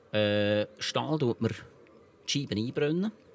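A man speaks at a fairly slow pace in a fairly low pitch with ordinary pitch variation. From Switzerland, canton Lucerne. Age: 50s. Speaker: company founder and grill maker. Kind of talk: interview. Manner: halting.

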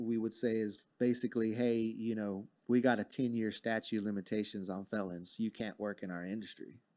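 An unremarkable speaking voice with an American accent at a moderate pace, on a very clean recording with a silent background. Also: man. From Texas, Fort Worth. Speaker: cannabis grower and industry professional. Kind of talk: interview.

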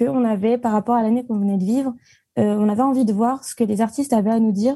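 Against a quiet background, a woman speaks with a fairly high pitch, a dark, mellow tone, fairly even intonation and a somewhat breathy quality. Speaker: arts management student. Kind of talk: casual chat.

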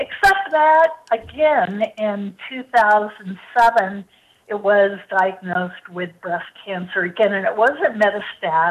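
A woman's very slow delivery with lively intonation. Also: medium pitch for a woman. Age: 60s. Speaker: cancer survivor and medical product founder. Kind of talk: testimony. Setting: phone call.

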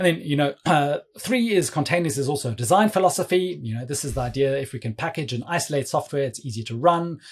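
Talking at a very fast pace with hardly any pauses, a man with a fairly high, somewhat breathy voice uses lively intonation. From South Africa. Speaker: cloud developer advocate. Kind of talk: casual technical interview.

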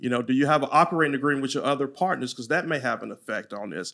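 In a very clean recording with a silent background, a man with a Louisiana accent speaks at a fairly high pitch. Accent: Louisiana Southern twang. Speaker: franchise attorney. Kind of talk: casual interview chat.

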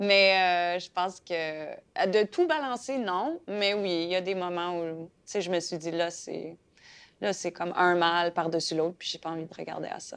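Against a quiet background, a woman with a fairly low pitch speaks at a fairly slow pace with fairly even intonation and big swings in loudness. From Saskatchewan (Fransaskois). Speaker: playwright and actress. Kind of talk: interview. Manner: halting, many fillers.

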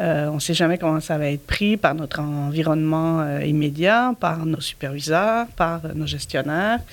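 Against noticeable background noise, a woman with a very deep, low voice talks at a fairly slow pace with hardly any pauses and ordinary pitch variation. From Belgium. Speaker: nonprofit director. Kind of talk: casual interview.

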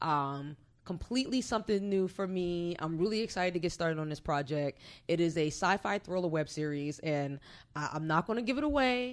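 A woman with an American accent and a fairly low pitch speaks at a fairly quick pace on a very clean recording with a silent background. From New Jersey (Orange). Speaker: filmmaker and media company owner. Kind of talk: interview.

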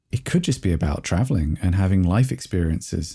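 With an English accent and a dark, mellow tone, the speaker moves at a fairly quick pace in a very clean recording with a silent background. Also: man. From England. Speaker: bassist and record producer. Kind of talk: casual interview chat.

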